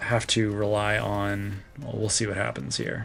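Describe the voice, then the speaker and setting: A man with an American accent, fairly low-pitched and very slow, with music in the background. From Texas. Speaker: gaming streamer. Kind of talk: live gameplay stream commentary. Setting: live stream. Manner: animated.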